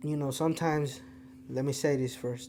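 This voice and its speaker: Speaking with a Spanish accent, a man keeps a moderate pace at a fairly high pitch. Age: 20s. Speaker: podcast host. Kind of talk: casual monologue to camera.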